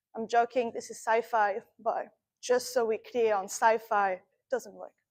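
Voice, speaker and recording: A woman with a French accent, fairly high in pitch, at a moderate pace. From France. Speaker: astrophysicist. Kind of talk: lecture. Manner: animated.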